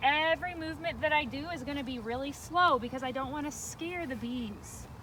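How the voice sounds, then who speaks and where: A woman's raised, projected, high-pitched voice with lively intonation at a moderate pace. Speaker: beekeeper. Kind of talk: tutorial. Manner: loud.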